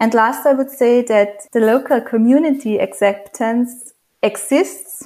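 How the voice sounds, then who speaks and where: With ordinary pitch variation, an unremarkable speaking voice goes along at a fairly slow pace. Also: woman. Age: 30s. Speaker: hydrogen engineer. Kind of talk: interview.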